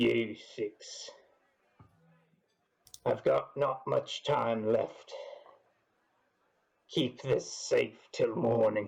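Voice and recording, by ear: In a put-on character voice that is gruff and raspy, a man speaks very slowly with long, frequent pauses.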